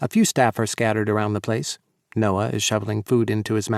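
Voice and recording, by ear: The background stays quiet while the speaker is reading aloud in a natural voice.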